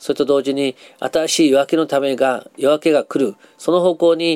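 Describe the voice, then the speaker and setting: Recorded with a dry, close sound and no echo, a man with a plain, everyday voice speaks at a moderate pace in a fairly high pitch. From Japan, Nagasaki. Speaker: psychologist and counselor. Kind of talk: interview.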